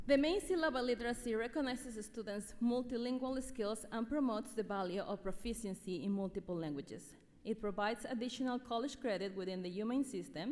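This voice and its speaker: Fairly high-pitched woman with an Ecuadorian accent, very fast pace, hardly any pauses and ordinary pitch variation. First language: Spanish. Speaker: teacher. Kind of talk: award speech. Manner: formal.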